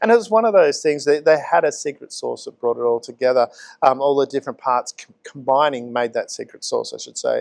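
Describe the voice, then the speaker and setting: With an Australian accent, a man speaks in big swings of loudness. The sound is dry and close, with no echo. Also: fairly quick pace. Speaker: community talk show host. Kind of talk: casual chat. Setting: pizza cafe, on location.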